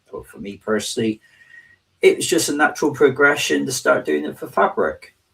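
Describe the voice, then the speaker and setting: A man speaks with a southwest English accent. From southwest England. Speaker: technology advocate and trainer. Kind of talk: interview.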